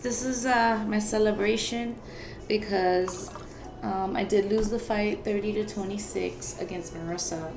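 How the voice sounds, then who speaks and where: A woman with an American accent talks at a moderate pace, at a medium pitch with ordinary pitch variation. Noticeable background noise and audible room echo are present. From Florida, Broward County. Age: 30s. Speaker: amateur boxer and podcaster. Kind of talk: casual vlog monologue. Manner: filler-heavy, conversational.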